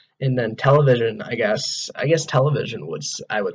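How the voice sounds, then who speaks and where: Moving at a fairly quick pace, the man talks with an American accent. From US Midwest, Wisconsin. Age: 20s. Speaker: vlogger, college student. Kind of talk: casual vlog monologue.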